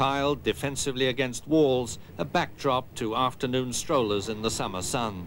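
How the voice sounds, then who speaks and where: In a plain, everyday voice, a man talks at a moderate pace with a medium pitch and lively intonation. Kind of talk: newsreel-style narration.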